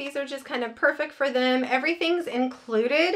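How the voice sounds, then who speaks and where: A woman talks in a high pitch with a bright, sharp tone. Her pitch varies in an ordinary way. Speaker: haul vlogger. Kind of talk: casual vlog chat. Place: home room.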